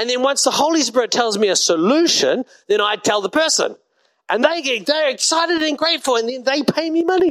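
With a New Zealand accent, a man speaks at a fairly quick pace, his extremely high voice lively in intonation. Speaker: pastor. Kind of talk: sermon. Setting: church.

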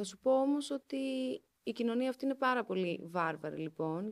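Moderate pace and lively intonation from a woman with a plain, everyday voice. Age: 30s. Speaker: journalist. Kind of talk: casual chat.

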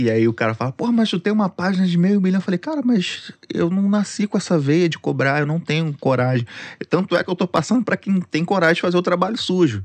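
Speaking very fast, a man with a high pitch and lively intonation comes through with a dry, close sound and no echo. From Rio de Janeiro, Zona Norte (Penha). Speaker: social media content creator. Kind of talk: casual chat.

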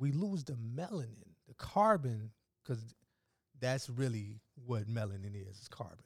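A man speaks at a fairly slow pace in a medium-pitched, somewhat breathy voice, with lively intonation and big swings in loudness. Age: 30s. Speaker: alkaline vegan health advocate. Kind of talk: casual chat.

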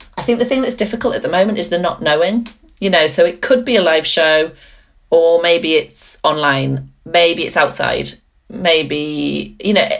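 At a moderate pace, a woman talks in a fairly low voice with vocal fry. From northeast England, Gateshead. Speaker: theatre director. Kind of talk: casual interview.

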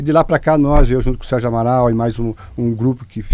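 A man speaks at a medium pitch. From Santa Catarina, Brazil (Rio do Sul area). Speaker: local party president. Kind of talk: radio interview. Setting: radio studio. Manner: halting.

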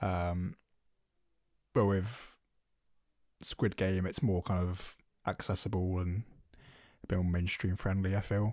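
On a very clean recording with a silent background, a man with a British accent mumbles in a very deep, low, monotone voice at a fairly slow pace, with long, frequent pauses. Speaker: film podcast co-host. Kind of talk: casual chat. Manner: mumbles and stutters.

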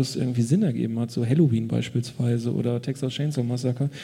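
Audible room echo and noticeable background noise surround a fairly quick delivery in a monotone, flat intonation. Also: man. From Ruhr area, Germany. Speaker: cartoonist. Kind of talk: casual chat. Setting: stage with audience.

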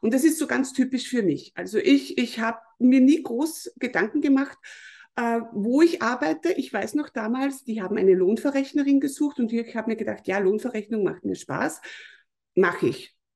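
A woman speaks at a moderate pace in a high, dark, mellow voice. Her pitch swings very widely. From Lower Austria, Mostviertel. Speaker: business consultant. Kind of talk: podcast interview.

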